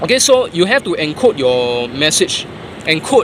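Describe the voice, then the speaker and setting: With a Singaporean accent, a man talks in a fairly high pitch and lively intonation against noticeable background noise. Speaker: traffic warden. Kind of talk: tutorial. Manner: casual, conversational.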